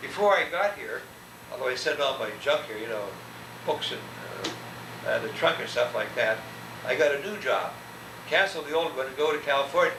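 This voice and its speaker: Amid noticeable background noise and audible room echo, a man talks at a fairly quick pace but leaves long, frequent pauses. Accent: American. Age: 70s. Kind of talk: oral history interview. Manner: halting.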